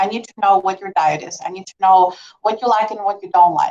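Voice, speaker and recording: A woman with a non-native accent and medium pitch speaks at a fairly quick pace. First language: not English. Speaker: nurse practitioner. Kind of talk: medical presentation. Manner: conversational, many fillers.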